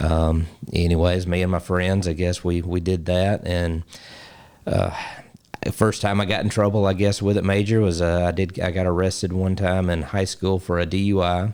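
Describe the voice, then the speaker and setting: A man with an Alabama accent speaks at a very deep, low pitch with monotone, flat intonation and very even loudness. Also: moderate pace. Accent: Southern US (Alabama). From US South, Alabama. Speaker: basketball coach and ministry founder. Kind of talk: interview testimony. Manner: halting, many fillers.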